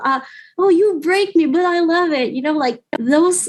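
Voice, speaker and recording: This woman speaks with a non-native accent. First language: not English. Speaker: writer, youth advisory board member. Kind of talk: casual interview chat. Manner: halting, with fillers.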